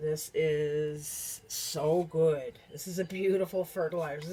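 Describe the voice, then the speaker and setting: A woman speaks quietly at a fairly low pitch. She is mumbling. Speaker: herbalist video creator. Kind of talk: tutorial. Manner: casual with many fillers.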